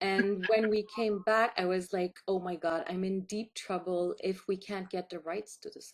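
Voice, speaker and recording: A woman with a Quebec accent speaks in a flat monotone, with hardly any pauses and big swings in loudness. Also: medium pitch for a woman, moderate pace. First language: French. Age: 50s. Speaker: filmmaker. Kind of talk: interview.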